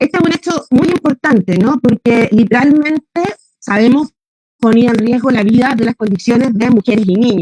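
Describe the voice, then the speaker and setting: With a Chilean accent, a woman speaks in a high pitch and lively intonation, her tone dark and mellow, the sound dry and close with no echo. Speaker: feminist activist panelist. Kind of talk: panel talk. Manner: fast.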